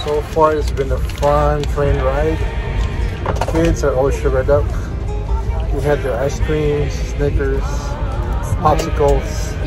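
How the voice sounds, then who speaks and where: Over clear background music, a man speaks at a very slow pace with long, frequent pauses. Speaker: family vlogger. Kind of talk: casual vlog chat. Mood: cheerful, relaxed. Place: train. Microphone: phone near.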